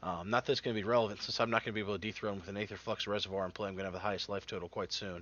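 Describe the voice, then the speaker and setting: This is a man speaking. His pitch sits fairly low. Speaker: card game player. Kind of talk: casual gameplay commentary.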